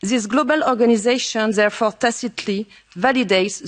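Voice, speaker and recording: A woman speaks in a French accent. Her pace is moderate and her pitch variation ordinary. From France. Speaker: politician. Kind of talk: conference speech. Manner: formal.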